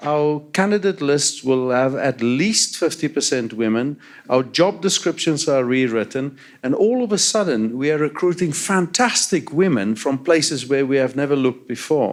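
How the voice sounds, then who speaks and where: With a South African accent, a man speaks at a moderate pace in a fairly high voice, his intonation lively and his loudness very even. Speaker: transit agency CEO. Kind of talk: panel discussion. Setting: stage with audience.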